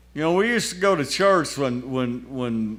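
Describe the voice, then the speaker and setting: A man at a fairly high pitch and moderate pace, with lively intonation and audible room echo. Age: 80s+. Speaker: lay speaker at church festival. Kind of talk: sermon.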